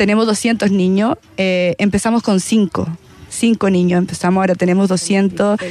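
Against music in the background, a woman speaks at a fairly slow pace with a medium pitch, fairly even intonation and very even loudness. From Chile, La Pintana. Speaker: volleyball player. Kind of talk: casual interview. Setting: live broadcast from stadium.

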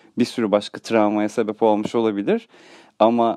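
Recorded with a dry, close sound and no echo, this man talks at a moderate pace in a dark, mellow tone. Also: quiet background. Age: 30s. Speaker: radio show host. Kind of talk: comedic monologue.

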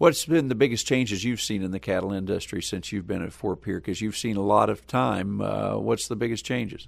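This man's voice sits fairly low and carries vocal fry. He speaks with hardly any pauses. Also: ordinary pitch variation. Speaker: farm radio podcast host. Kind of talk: host intro and interview.

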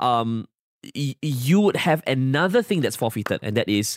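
On a very clean recording with a silent background and a dry, close sound with no echo, a man with a Singaporean accent speaks with lively intonation. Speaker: podcast co-host. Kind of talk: casual chat.

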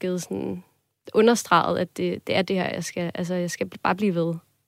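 Here, a woman speaks at medium pitch with fairly even intonation. The recording is very clean with a silent background, and the sound is dry and close, with no echo. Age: 20s. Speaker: student, listener sharing a dream. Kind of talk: casual interview conversation. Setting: studio.

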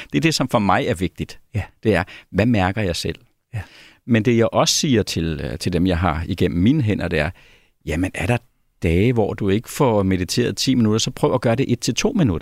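On a very clean recording with a silent background and a dry, close sound with no echo, a man speaks at a moderate pace in a fairly low voice with lively intonation. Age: 50s. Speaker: mindfulness instructor. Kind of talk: interview. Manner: halting.

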